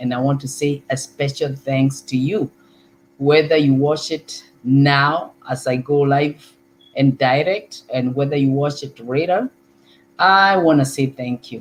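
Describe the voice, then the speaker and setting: A woman with a Kenyan accent, very deep and low in pitch, with fairly even intonation at a fairly slow pace. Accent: Kikuyu. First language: Kikuyu. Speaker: online talk show host. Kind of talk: live talk show monologue. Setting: live stream. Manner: hesitant, with filler words and repetitions.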